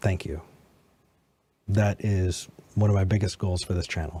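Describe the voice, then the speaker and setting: A man with a very deep, low voice and a dark, mellow tone speaks at a moderate pace, somewhat breathy. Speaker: podcast host. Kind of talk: debate.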